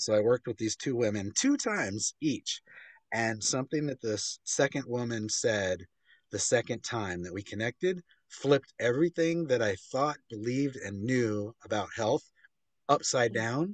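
In a quiet background with dry sound and no echo, a man of medium pitch speaks at a moderate pace with ordinary pitch variation. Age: 50s. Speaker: author and filmmaker; interview guest. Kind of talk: interview. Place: home room. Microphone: video call.

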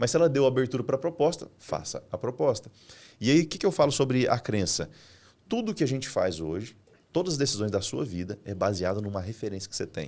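A man at a medium pitch and fairly quick pace, with vocal fry and very wide pitch swings. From Brazil, Mato Grosso interior. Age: 30s. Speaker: entrepreneur and business mentor; podcast guest. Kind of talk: business podcast interview. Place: studio. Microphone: studio mic.

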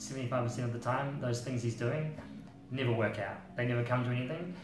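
With faint music in the background and audible room echo, a man is speaking. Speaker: music journalist. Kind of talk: interview answer. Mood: relaxed, reflective. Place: home room.

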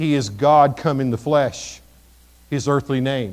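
An American-accented male voice. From Missouri, US Midwest. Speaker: pastor. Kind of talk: sermon. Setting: church. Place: church.

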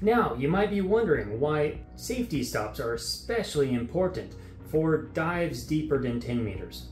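A man speaks at a moderate pace. The room echo is audible, with faint music in the background. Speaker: diving instructor. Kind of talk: tutorial. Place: studio.

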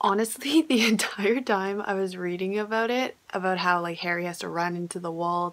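This woman talks at a moderate pace, her pitch medium with ordinary variation. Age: 20s. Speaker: booktuber / video blogger. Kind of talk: casual vlog talking to camera. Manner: animated. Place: home room. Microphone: phone near.

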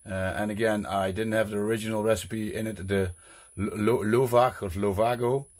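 With a Dutch accent, a man speaks at a fairly low pitch with fairly even intonation. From Netherlands. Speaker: cooking vlogger. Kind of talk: cooking tutorial vlog. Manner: casual, chatty. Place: kitchen. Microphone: phone near.

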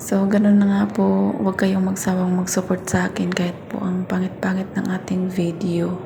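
There is audible room echo and noticeable background noise as a woman speaks at a moderate pace with hardly any pauses. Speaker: vlogger, domestic worker abroad. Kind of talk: casual vlog voice-over. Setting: recorded in a bathroom. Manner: hushed, hiding from employer.

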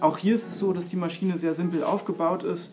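The voice shows ordinary pitch variation while faint music plays in the background. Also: man. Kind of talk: tutorial. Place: workshop.

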